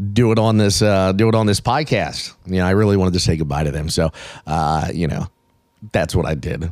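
On a very clean recording with a silent background, a man speaks in a very deep, low pitch with ordinary pitch variation. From Baltimore. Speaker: podcast host, concert fan. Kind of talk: casual chat. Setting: outdoors smoking section, then arena. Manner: casual, animated.

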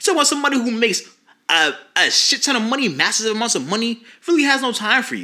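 In a raised, projected voice with a bright, sharp tone, a man talks at a very fast pace. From US South (Jacksonville, Florida). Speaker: nonprofit founder and mentor. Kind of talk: casual chat.

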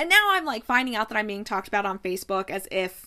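Her tone is animated, bright and sharp. The woman's pitch varies in an ordinary way. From US Midwest, Ohio. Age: 30s. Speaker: podcast host. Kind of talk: casual solo podcast storytelling. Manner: animated, frequent laughter.

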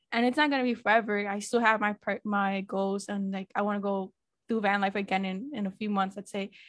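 Speaking at a fairly quick pace, a woman has a normal speaking voice at a medium pitch, recorded with a dry, close sound and no echo. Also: fairly even intonation, quiet background. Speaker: podcast host. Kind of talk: casual interview chat.

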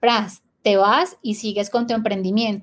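A woman is speaking. Her pace is fairly slow. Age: 20s. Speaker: entrepreneur, clothing business owner. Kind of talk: interview. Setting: live video stream.

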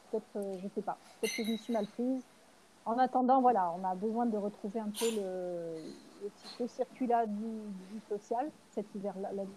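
A woman's somewhat breathy, dark, mellow voice at a fairly high pitch, with ordinary pitch variation and a fairly slow pace. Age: 40s. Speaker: mother living aboard a sailboat. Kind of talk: casual interview conversation. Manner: halting, many fillers and repetitions.

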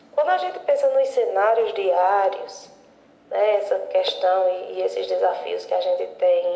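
A woman talks at a fairly slow pace amid audible room echo and noticeable background noise. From Juazeiro do Norte, Ceará, Brazil. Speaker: university professor. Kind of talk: recorded statement.

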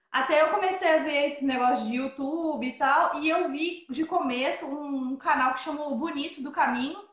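Audible room echo, a moderate pace and ordinary pitch variation. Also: woman. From southern Minas Gerais, Brazil. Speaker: van-life traveler. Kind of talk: casual interview. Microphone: unstable internet connection.

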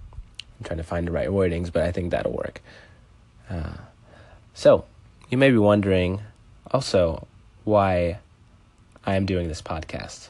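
A man with a very deep, low pitch talks at a fairly slow pace, his intonation fairly even, his loudness swinging widely and his pauses long and frequent. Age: 20s. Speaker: podcast host and street violinist. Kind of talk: solo podcast monologue.

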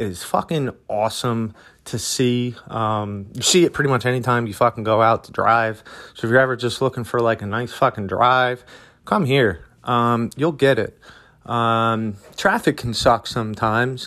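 A man with an American accent speaks at a moderate pace and medium pitch, his bright, sharp tone held to fairly even intonation in a very clean recording with a silent background. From Philadelphia. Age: 30s. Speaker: podcast host. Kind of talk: casual monologue. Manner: casual, many fillers.

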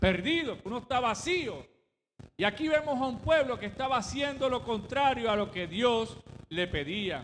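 With lively intonation and audible room echo, a man talks at an extremely high pitch. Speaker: pastor. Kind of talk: sermon. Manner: halting.

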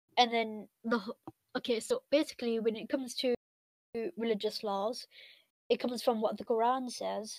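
At a moderate pace and with fairly even intonation, the speaker has a Mancunian accent, heard in a dry, close sound with no echo. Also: woman. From Manchester area, England, of Pakistani Pashtun heritage. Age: 20s. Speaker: university religion student and Islamic scholar. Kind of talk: casual interview chat.

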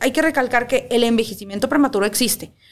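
A woman talks with a high pitch. Her pitch variation is ordinary. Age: 30s. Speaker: cosmetologist. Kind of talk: casual chat.

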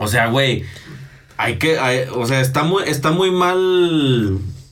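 Very slow speech from a man amid noticeable background noise and audible room echo. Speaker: podcast co-host. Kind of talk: casual chat. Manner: animated.

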